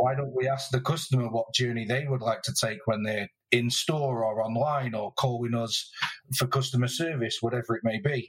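A man's medium-pitched voice in a British accent, at a moderate pace with fairly even intonation. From UK. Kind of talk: casual interview chat. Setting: remote recording.

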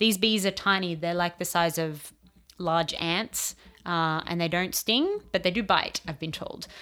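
With an Australian accent, a woman speaks at a fairly low pitch and fairly slow pace, in a bright, sharp tone with fairly even intonation, on a very clean recording with a silent background. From Australia, rural New South Wales. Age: 30s. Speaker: entomologist. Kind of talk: casual chat.

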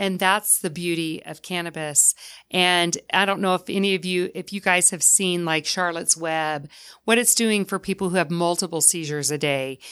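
With an American accent, a woman with a fairly low pitch and a bright, sharp tone speaks at a moderate pace on a very clean recording with a silent background. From US South. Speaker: cannabis business owner. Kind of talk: interview. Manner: animated.

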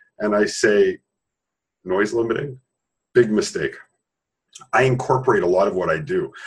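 A man is speaking. His pace is moderate. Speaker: sound therapy creator. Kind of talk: interview. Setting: webinar.

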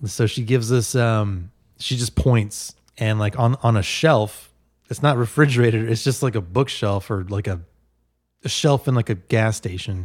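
A man with an American accent and a normal speaking voice, medium pitch, ordinary pitch variation and moderate pace, on a very clean recording with a silent background. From New Jersey (Bergenfield), later San Francisco. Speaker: podcast guest. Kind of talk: casual chat.

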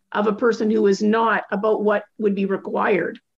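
A woman with an unremarkable speaking voice and a fairly high pitch speaks at a fairly slow pace. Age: 60s. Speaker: podcast host. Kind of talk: casual interview chat; scripted outro.

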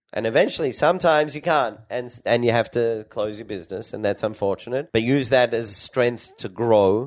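A man with an Australian accent speaks at a moderate pace with hardly any pauses. His pitch is medium. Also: ordinary pitch variation. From Australia (Sydney, Perth). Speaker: entrepreneur and pharmacist. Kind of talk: interview.

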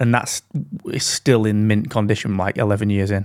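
Recorded very cleanly against a silent background with a dry, close sound and no echo, a man speaks at a fairly quick pace with a British accent. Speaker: podcast co-host. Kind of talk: casual chat. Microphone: dynamic broadcast mic, good audio quality.

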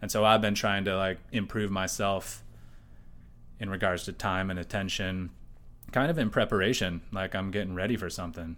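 An American-accented man with a very deep, low pitch speaks at a moderate pace with fairly even intonation. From USA. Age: 30s. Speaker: artist. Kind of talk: casual interview chat. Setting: artist's studio.

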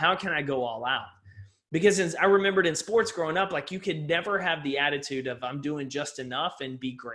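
Talking at a fairly quick pace, a man with an American accent uses a plain, everyday voice with ordinary pitch variation. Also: fairly high pitch for a man. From East Texas. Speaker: motivational speaker and author. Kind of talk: podcast interview. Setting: video call.

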